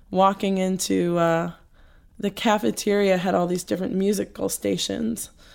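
In an American accent, a woman of medium pitch talks at a moderate pace on a very clean recording with a silent background. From New Jersey, US. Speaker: cellist and singer-songwriter. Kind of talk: interview. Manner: halting.

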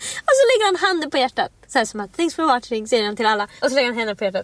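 Against noticeable background noise, a woman speaks at a very fast pace with very wide pitch swings. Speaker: podcast co-host. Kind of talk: casual chat.

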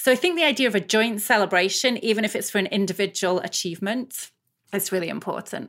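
Someone in a British accent talks at a very fast pace. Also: woman, medium pitch for a woman, ordinary pitch variation. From UK. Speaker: business school professor and researcher. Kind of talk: interview.

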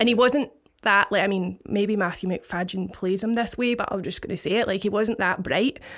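A woman speaks with a Scottish accent. Her intonation is fairly even and her pace moderate. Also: medium pitch for a woman. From Scotland, Paisley. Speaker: DJ. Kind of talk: casual chat.

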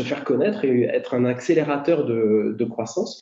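A man at a moderate pace with lively intonation. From northern France, Dunkerque. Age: 40s. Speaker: entrepreneur. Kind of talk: interview. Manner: hesitant, many fillers.

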